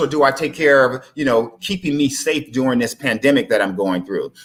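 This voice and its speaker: An American accent marks this man's fairly high voice. He talks at a very fast pace with lively intonation. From Texas. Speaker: life insurance advisor. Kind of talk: live-streamed interview, persuasive pitch.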